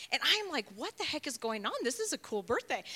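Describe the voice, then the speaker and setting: Speaking with an American accent, a woman uses a raised, projected voice. Her tone is bright and sharp. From Chicago. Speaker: church leader. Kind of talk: casual chat.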